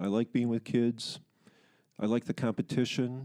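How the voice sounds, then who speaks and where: Dry and close with no echo, a man with an American accent speaks at a fairly slow pace in a medium pitch. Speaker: long-time company employee and sports referee. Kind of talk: interview.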